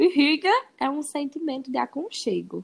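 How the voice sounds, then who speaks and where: A woman speaks with a Ceará accent. Her pitch swings very widely. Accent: Northeastern Brazilian Portuguese (Ceará). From Brazil, Ceará (Crato). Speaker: veterinary student and English teacher. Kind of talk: casual interview.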